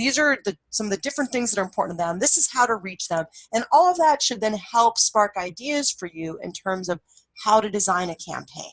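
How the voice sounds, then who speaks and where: A woman speaks at a fairly quick pace with a fairly high pitch and very wide swings in her pitch. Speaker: university lecturer. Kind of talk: tutorial. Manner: fast; casual, many fillers.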